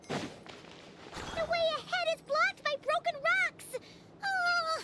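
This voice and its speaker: In a put-on character voice, the speaker sounds squeaky at an extremely high pitch, with very wide pitch swings, a very slow pace and light background noise. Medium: video game. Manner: animated, exclamatory.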